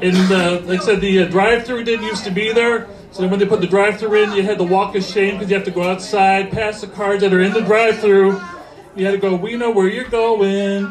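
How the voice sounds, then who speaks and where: With an American accent, a man talks fairly quickly in a high, monotone, flat voice against noticeable background noise. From US Midwest (Ohio). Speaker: stand-up comedian. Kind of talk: stand-up. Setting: stage with audience.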